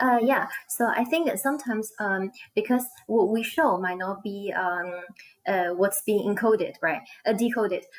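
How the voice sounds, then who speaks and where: A woman's fairly high voice with lively intonation, over noticeable background noise. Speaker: online ESL teacher and co-host. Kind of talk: live-stream conversation. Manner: fast.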